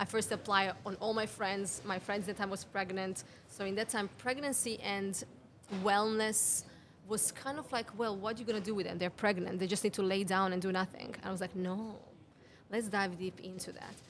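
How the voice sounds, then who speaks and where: A woman speaks with a Serbian accent at a medium pitch. Her pace is moderate and her intonation fairly even. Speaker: women's health mentor. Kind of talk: podcast interview. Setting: cafe.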